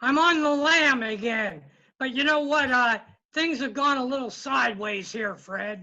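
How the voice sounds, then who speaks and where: A man uses a put-on character voice at an extremely high pitch. His voice is raised and projected, and he keeps a moderate pace. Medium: comedy sketch. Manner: disgruntled.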